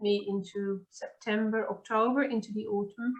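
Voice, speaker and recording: A woman with a Dutch accent, fairly high-pitched, at a moderate pace and with fairly even intonation. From Netherlands. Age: 50s. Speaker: podcast host. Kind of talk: casual chat.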